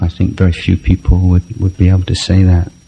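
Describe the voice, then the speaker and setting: Noticeable background noise accompanies a man whose voice is very deep and low. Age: 40s. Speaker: Buddhist monk teacher. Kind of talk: dharma talk Q&A. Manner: hesitant, many fillers.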